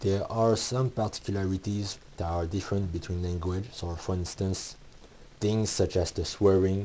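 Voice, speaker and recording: Here a man speaks with a Quebec accent. His pitch is very deep and low, and his pace is moderate. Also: fairly even intonation. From Quebec, Canada. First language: French. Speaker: comic book author and creator. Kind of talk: video essay / tutorial talk. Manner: some hesitations and restarts.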